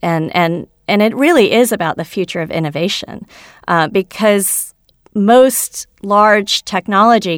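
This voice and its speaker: A woman with an American accent and an unremarkable speaking voice, medium in pitch with ordinary pitch variation, at a fairly slow pace on a very clean recording with a silent background. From United States, Kenyan-born of Indian descent. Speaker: venture capitalist. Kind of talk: interview.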